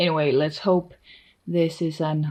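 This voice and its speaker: A woman speaks with a Danish accent in a very deep, low pitch and a dark, mellow tone. Her intonation stays monotone and flat. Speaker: artist and vlogger. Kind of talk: casual vlog talk. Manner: loose, hesitant with fillers.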